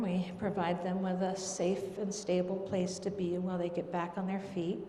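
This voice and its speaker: A woman speaks at a moderate pace in a monotone, flat intonation, with audible room echo and noticeable background noise. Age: 60s. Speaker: choir singer telling her life story. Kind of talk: personal testimony to a group. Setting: church hall before choir rehearsal. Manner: halting, many fillers and restarts.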